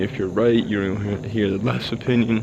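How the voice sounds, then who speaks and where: With an American accent, a man talks at a moderate pace in a fairly low pitch and fairly even intonation, with noticeable background noise behind him. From United States. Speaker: vlogger. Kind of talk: casual monologue while walking. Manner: halting, self-correcting.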